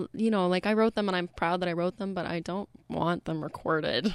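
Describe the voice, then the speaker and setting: With a Canadian accent and a normal speaking voice, a woman of medium pitch talks with fairly even intonation in a dry, close sound with no echo. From British Columbia, Canada. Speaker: singer-songwriter and graduate student. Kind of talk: casual interview chat. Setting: radio studio.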